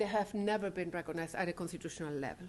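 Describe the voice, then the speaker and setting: A woman speaks with a Spanish accent. Her fairly low pitch carries fairly even intonation. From Chile. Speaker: legal scholar. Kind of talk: lecture. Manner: halting.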